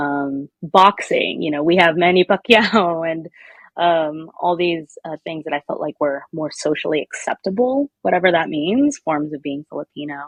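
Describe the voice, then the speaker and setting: A woman with an American accent has a plain, everyday voice, pitched fairly low with ordinary variation. She goes at a moderate pace, and her loudness swings widely. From US South, early childhood in Philippines. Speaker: podcast guest. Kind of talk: interview conversation.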